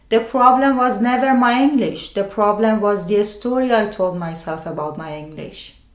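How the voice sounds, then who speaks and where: Her intonation lively and her pitch fairly high, a woman with a non-native accent speaks at a fairly slow pace, with audible room echo. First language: not English. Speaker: mental health video creator. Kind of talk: scripted narration.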